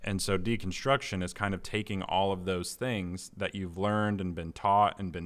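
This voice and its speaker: This man has a very deep, low pitch and an American accent. His intonation stays fairly even. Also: very clean recording, silent background. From US Midwest (Indiana). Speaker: pastor. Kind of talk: casual interview.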